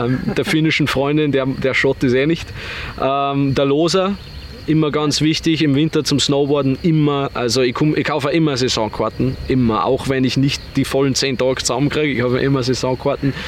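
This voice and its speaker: At a moderate pace, a man speaks in a fairly high voice with very even loudness and fairly even intonation, over noticeable background noise. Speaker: online entrepreneur. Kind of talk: interview.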